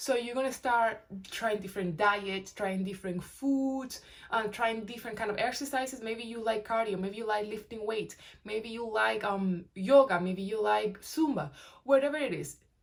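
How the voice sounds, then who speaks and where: A woman speaks at a moderate pace with a normal speaking voice, her pitch fairly high. Her pitch varies an ordinary amount. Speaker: weight-loss vlogger. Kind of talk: casual talk-to-camera advice.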